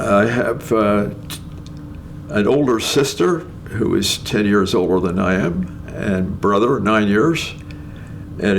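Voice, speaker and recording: At a fairly slow pace and with ordinary pitch variation, the speech carries audible room echo and noticeable background noise. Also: man. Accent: Canadian. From Ontario, Canada. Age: 90s. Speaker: retired nuclear scientist. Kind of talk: interview. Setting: at home. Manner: halting, with many fillers.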